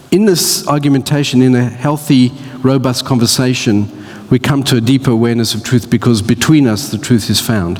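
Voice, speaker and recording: Over noticeable background noise, a man with an Australian accent talks at a fairly quick pace with a medium pitch. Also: ordinary pitch variation. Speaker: church speaker. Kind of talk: talk to church audience. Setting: church with audience. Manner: halting.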